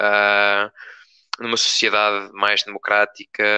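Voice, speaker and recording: The voice has a bright, sharp tone and a European Portuguese accent. The sound is dry and close, with no echo. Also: man. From Portugal, Torres Novas. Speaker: local activist. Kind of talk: live-stream panel discussion. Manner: halting, many fillers.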